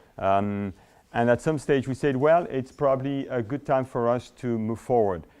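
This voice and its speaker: A man in a French accent talks at a moderate pace with a medium pitch and ordinary pitch variation. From France, Paris. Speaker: business school administrator. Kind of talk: conference presentation. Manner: halting, many fillers and repeats.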